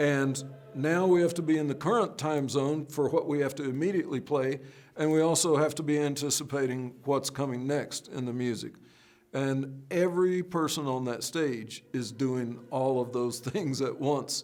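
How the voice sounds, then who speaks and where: A man with an unremarkable speaking voice, fairly high in pitch, keeps fairly even intonation at a moderate pace. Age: 60s. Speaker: orchestral percussionist and composer. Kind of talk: instrument demonstration; interview. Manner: conversational with fillers.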